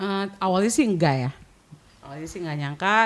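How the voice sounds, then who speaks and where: A woman speaks with an unremarkable speaking voice. Her pitch is fairly low, with ordinary variation. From Papua. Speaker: content creator. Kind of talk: podcast interview.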